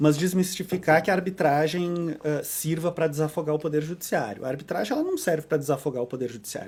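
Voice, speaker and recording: A fairly high-pitched man with a southern Brazilian accent, at a very fast pace. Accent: southern Brazilian (gaúcho). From southern Brazil, Porto Alegre. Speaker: arbitration lawyer. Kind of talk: podcast interview. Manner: frequent fillers and repetitions.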